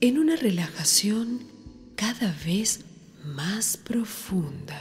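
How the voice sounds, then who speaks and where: Over music in the background, a woman speaks very slowly at a fairly high pitch, with very wide pitch swings and long, frequent pauses. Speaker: meditation guide. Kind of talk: guided meditation.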